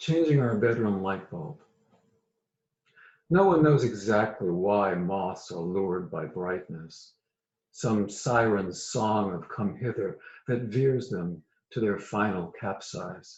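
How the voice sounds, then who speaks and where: With an American accent, the speaker talks at a very slow pace using ordinary pitch variation. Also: man, fairly low pitch for a man. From US South, Virginia. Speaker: poet. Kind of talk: poetry reading.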